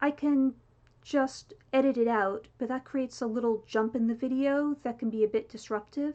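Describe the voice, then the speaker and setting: Her pitch is high, and the woman lets it rise and fall with ordinary variation. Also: moderate pace. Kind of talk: casual talk to camera. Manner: occasional involuntary word repetitions (palilalia).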